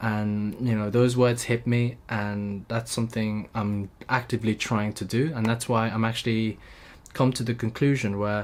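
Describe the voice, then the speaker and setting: On a very clean recording with a silent background, a man with a London accent speaks at a moderate pace and medium pitch in a monotone, flat intonation. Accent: British English (London). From UK. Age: 20s. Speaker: YouTuber, recent engineering graduate. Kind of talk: vlog monologue. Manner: halting, stuttering; casual, free-flowing.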